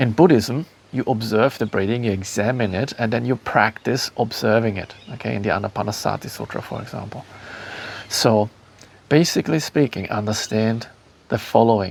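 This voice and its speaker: A man with a German accent speaks at a medium pitch and moderate pace. His pitch varies in an ordinary way, and there is noticeable background noise. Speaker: spiritual teacher and author. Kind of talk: talk to camera. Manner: halting, many fillers.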